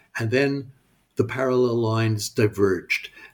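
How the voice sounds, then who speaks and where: A man speaks in a Canadian accent at a medium pitch and a moderate pace. His voice is somewhat breathy, with ordinary pitch variation. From Canada, Montreal. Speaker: professor and author. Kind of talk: interview. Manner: halting, many fillers and repetitions.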